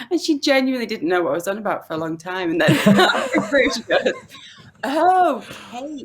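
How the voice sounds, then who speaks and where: With very wide swings in pitch, a woman talks in a high voice. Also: fairly quick pace. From Yorkshire, northern England. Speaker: mother and blogger. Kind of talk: casual interview chat.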